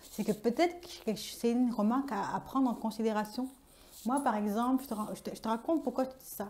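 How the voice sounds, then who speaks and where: Speaking at a fairly quick pace, a woman with a fairly high pitch shows ordinary pitch variation and big swings in loudness. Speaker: vlogger. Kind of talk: personal vlog monologue. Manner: very expressive, energetic.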